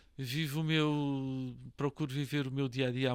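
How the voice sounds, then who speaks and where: Monotone, flat speech from a man at medium pitch, dry and close with no echo, on a very clean recording with a silent background. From Portugal, Lisbon. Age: 60s. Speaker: real estate association president and broker. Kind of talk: podcast interview. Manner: hesitant, many fillers and repetitions.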